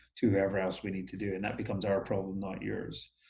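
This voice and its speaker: Somewhat breathy, the man speaks in a fairly low pitch. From Scotland. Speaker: business owner. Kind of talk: interview. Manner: hesitant, many fillers.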